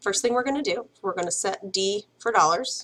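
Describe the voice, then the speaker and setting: A woman speaking at a fairly quick pace. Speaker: math teacher. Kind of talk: tutorial. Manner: fast.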